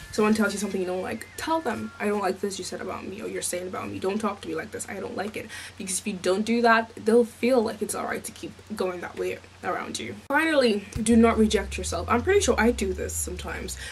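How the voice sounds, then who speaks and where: A woman talks at a very fast pace, her loudness swinging widely, with noticeable noise in the background. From Nigeria. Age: young. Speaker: vlogger. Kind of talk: casual advice vlog.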